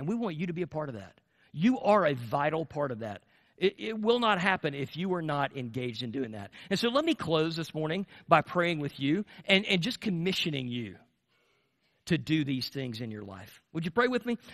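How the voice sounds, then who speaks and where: Someone speaks at a fairly quick pace with an American accent, with very wide pitch swings and big swings in loudness. The background is quiet. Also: man. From US South. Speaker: pastor. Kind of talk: sermon. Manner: animated. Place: church.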